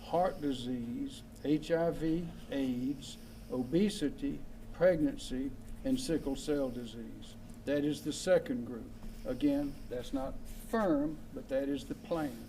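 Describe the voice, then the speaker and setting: A man at a very slow pace, with audible room echo. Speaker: state official at press roundtable. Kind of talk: briefing at press roundtable. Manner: slow, deliberate.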